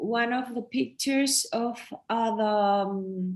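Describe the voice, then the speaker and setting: A woman speaks with a Chilean Spanish accent. Her voice sits fairly high, with ordinary pitch variation. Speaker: photographer. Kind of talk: artist talk during online exhibit. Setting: online event. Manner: halting, many fillers and repetitions.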